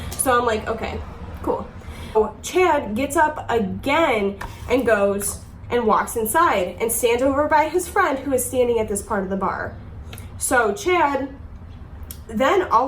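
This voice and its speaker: In a room with audible echo, a woman with a high pitch speaks at a fairly slow pace with lively intonation. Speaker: YouTuber. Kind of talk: storytime. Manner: casual, filler-heavy; halting.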